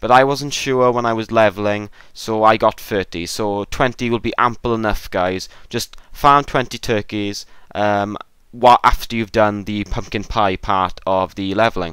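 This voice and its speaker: On a very clean recording with a silent background, a man uses an ordinary speaking voice at a fairly low pitch, a moderate pace and fairly even intonation. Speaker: gaming video creator. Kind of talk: gameplay tutorial.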